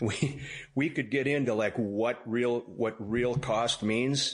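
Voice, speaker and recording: An unremarkable speaking voice moves at a fairly slow pace, its intonation fairly even and its loudness very even. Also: man. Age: 60s. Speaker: duck hunter and wildlife photographer. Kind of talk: interview.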